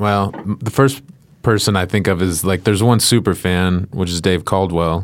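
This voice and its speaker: A man with an American accent talks at a fairly low pitch. He has a plain, everyday voice and a fairly slow pace. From Chicago suburbs, Illinois, then Henderson, Nevada from age twelve. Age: 30s. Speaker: stand-up comedian. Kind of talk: casual chat. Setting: studio.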